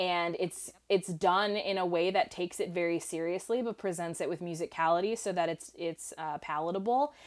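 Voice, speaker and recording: A woman speaks in a normal speaking voice with a fairly low pitch and ordinary pitch variation. Her pace is moderate, with hardly any pauses. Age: 30. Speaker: filmmaker and film analyst. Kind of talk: casual chat.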